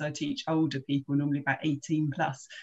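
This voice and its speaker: The woman talks at a very fast pace. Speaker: podcast guest, teacher. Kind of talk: casual storytelling on a video call. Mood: amused, wry. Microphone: earbuds.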